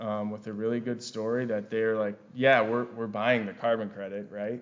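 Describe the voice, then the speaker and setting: With a Wisconsin accent, the voice speaks in a monotone, flat intonation with audible room echo. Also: man. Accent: Wisconsin accent, noticeable. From Wisconsin, US Upper Midwest. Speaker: forester and carbon project director. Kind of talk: conference presentation. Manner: frequent fillers and repetitions.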